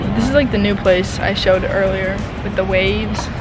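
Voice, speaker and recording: A woman speaks in a dry sound with no echo. Music plays in the background. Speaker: travel vlogger. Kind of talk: casual vlog chat. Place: hall. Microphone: phone near.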